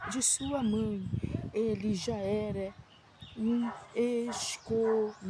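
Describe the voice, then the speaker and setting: A soft-spoken woman with a fairly high pitch and ordinary pitch variation. Noticeable background noise runs under her voice. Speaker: missionary preacher. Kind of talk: sermon. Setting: outdoors on a prayer mountain.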